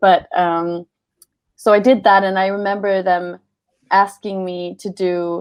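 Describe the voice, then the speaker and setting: A woman talks at a medium pitch with a Swedish accent. Her intonation is fairly even. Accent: Swedish, moderate. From Sweden. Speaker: voice actor. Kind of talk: panel Q&A. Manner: halting.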